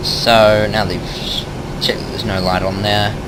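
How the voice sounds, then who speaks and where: Mumbling in a fairly low pitch, a man is heard with audible room echo and noticeable background noise. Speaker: flight sim video creator. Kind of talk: tutorial. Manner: casual, self-correcting.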